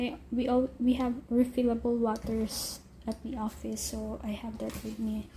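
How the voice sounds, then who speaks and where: The speaker goes at a fairly slow pace in a Filipino accent. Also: woman. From Philippines. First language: Tagalog. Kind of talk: casual talk to camera.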